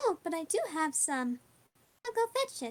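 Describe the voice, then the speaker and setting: A woman puts on a squeaky character voice at an extremely high pitch, with very wide pitch swings. She talks at a moderate pace, and the sound is dry and close with no echo. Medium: actual play.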